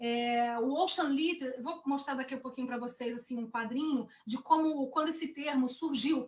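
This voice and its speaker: A woman's high-pitched voice at a moderate pace, fairly even in intonation, with hardly any pauses. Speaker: ocean educator. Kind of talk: webinar presentation.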